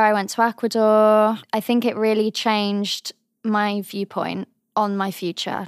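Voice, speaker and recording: This woman speaks with a southern English accent at a fairly high pitch, her intonation monotone and flat, in a dry, close sound with no echo. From England, Cotswolds. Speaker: drama student and model. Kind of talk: casual interview.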